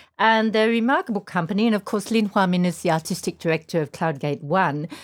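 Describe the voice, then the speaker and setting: Ordinary pitch variation from a woman with an Australian accent at a fairly quick pace, on a very clean recording with a silent background. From Tasmania, Australia. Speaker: podcast host, dance writer. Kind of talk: casual chat.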